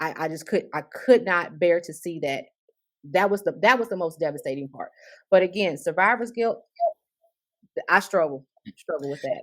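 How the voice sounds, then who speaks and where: The speaker has a South Carolina accent and keeps a moderate pace. The recording is very clean, and the background is silent. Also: woman. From US South, South Carolina. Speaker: breast cancer survivor. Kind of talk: panel discussion, personal testimony.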